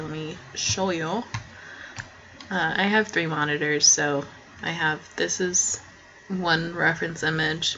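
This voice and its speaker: A soft-spoken woman talks at a fairly low pitch and a fairly slow pace. Noticeable background noise sits behind her. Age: young. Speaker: student artist. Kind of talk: tutorial. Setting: at home at night. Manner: halting.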